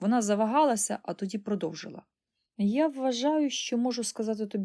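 The clip features a natural reading voice over a quiet background.

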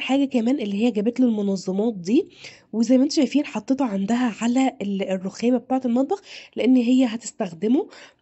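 With an animated tone, a woman speaks at a moderate pace and fairly high pitch with ordinary pitch variation. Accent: Egyptian. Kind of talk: video narration.

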